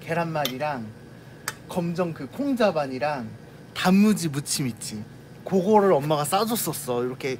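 Over light background noise, a man talks with lively intonation and big swings in loudness. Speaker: vlogger eating with shop worker. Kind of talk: casual vlog chat, storytelling. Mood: nostalgic, warm. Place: shop. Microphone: phone near.

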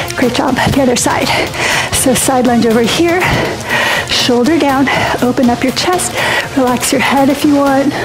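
Over clear background music, a woman with a high pitch speaks in a fairly even tone, leaving long, frequent pauses. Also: moderate pace. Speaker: fitness instructor. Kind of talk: workout instruction. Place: home room.

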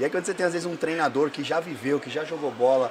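Noticeable background noise surrounds a man speaking in a fairly high pitch. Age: 40s. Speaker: podcast host and insurance broker. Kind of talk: casual interview. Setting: live at a conference. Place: studio. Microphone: studio mic.

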